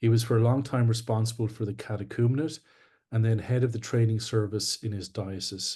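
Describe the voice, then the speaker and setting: A man with a Scottish accent talks at a fairly quick pace in a medium pitch, somewhat breathy with a dark, mellow tone and fairly even intonation, over a quiet background. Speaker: webinar host, church official. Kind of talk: formal introduction. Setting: online webinar.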